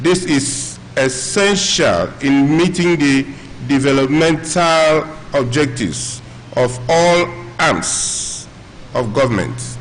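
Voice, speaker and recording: Amid noticeable background noise and audible room echo, a man with a fairly high pitch talks at a very slow pace, with very even loudness and ordinary pitch variation. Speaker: professional body representative. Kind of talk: reading aloud.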